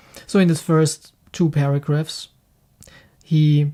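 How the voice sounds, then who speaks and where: A very slow pace in a German accent. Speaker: spiritual teacher, book reviewer. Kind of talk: reading aloud with commentary. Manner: halting.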